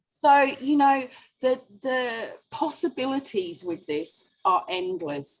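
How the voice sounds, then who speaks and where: The speech moves at a very slow pace with very wide pitch swings. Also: woman. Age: 60s. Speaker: independent sales consultant. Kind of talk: interview answer.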